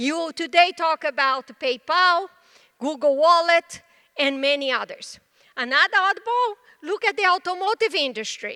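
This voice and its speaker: Raised and projected, a woman's voice with a Brazilian Portuguese accent rings bright and sharp at an extremely high pitch, with lively intonation and a moderate pace. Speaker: tech executive. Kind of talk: conference presentation.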